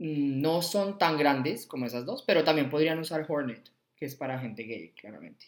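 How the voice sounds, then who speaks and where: This man has an unremarkable speaking voice, fairly high in pitch, at a moderate pace with ordinary pitch variation and big swings in loudness. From Colombia, Bogotá. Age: 30s. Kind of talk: casual interview chat.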